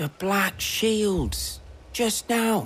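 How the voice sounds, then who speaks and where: In a put-on character voice with an English accent, a woman sounds raspy at a medium pitch. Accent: rustic English dialect. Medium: video game. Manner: blunt, coarse.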